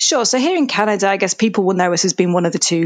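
A woman speaks with a Yorkshire accent. The sound is dry and close, with no echo. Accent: northern English (Yorkshire). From Yorkshire, England. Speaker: data analytics executive. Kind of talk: interview.

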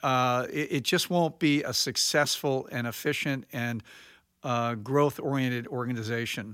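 On a very clean recording with a silent background, a man speaks at a medium pitch with a bright, sharp tone and ordinary pitch variation. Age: 60s. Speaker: architect, firm principal and chairman. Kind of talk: interview.

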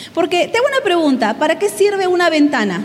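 Over noticeable background noise, a woman speaks at an extremely high pitch with very wide pitch swings. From Peru. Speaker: pastor and guest speaker. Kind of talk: sermon.

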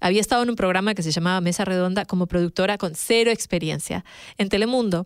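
A woman speaks very fast at a medium pitch with very even loudness. The recording is very clean and silent behind her, with a dry, close sound and no echo. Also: ordinary pitch variation. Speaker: podcast co-host and journalist. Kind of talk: casual chat.

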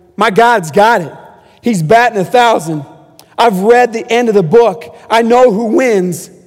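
Over noticeable background noise and audible room echo, a man with an American accent talks at a fairly slow pace in a high voice, his tone animated and his pitch variation ordinary. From US West Coast, San Diego. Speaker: guest preacher, camp ministry leader. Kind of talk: sermon. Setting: church stage.

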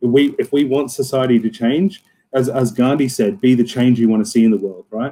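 A man in an Australian accent, fairly quick in pace, with a dark, mellow tone and ordinary pitch variation. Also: medium pitch for a man. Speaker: club co-captain. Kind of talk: casual chat.

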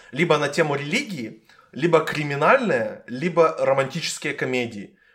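The man's fairly high pitch comes with a bright, sharp tone. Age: 20s. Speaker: podcast host. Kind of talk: casual chat.

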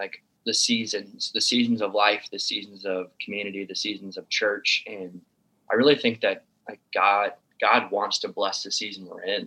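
Speaking in an American accent, a man keeps a moderate pace. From Sioux City, Iowa, US Midwest. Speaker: pastor. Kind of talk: casual chat.

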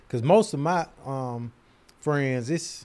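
The speaker has an American accent and lively intonation, talking at a very slow pace. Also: man. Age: 30s. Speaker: podcast co-host. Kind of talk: casual chat.

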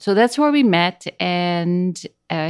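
In a Dutch accent, a woman speaks at a very slow pace and a fairly low pitch, with a dry, close sound with no echo on a very clean recording with a silent background. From Netherlands. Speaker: speech language pathologist and trek guide. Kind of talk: casual interview.

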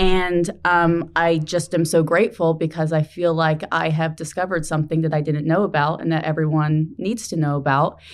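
A woman speaks at a moderate pace with hardly any pauses, in a plain, everyday voice. Her pitch sits fairly low, and her intonation stays fairly even. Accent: American. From New Jersey. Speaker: nonprofit executive director. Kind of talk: interview.

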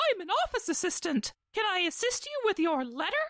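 The speaker puts on a character voice at an extremely high pitch, with very wide pitch swings at a fairly quick pace. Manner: stupid cartoon voice.

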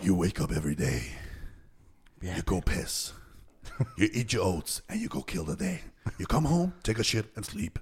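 A man speaks in a put-on character voice, fairly low in pitch. The pace is moderate, broken by long, frequent pauses. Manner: dramatic, gruff, motivational.

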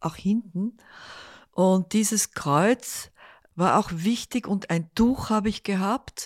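The recording is very clean and dry, with a close sound, no echo and a silent background. A woman at medium pitch speaks at a very slow pace with ordinary pitch variation. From Netherlands. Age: 80s+. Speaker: artist. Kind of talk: interview. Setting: living room at home.

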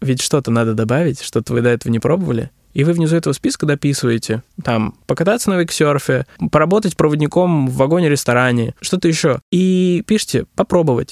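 A man with a normal speaking voice talks at a fairly quick pace in a fairly high pitch, his intonation lively and the sound dry and close with no echo. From Russian regions. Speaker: business consultant on digital transformation. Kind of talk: interview. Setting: studio.

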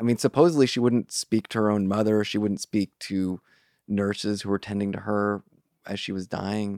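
A man has a normal speaking voice with a fairly low pitch and fairly even intonation. He goes at a moderate pace in a dry, close sound with no echo. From US West Coast, Marin County, California. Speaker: writer and magazine interviews editor. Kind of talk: casual interview conversation.

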